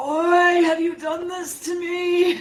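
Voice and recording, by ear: A put-on character voice in a strong Irish accent, extremely high pitched, with monotone, flat intonation. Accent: thick Irish.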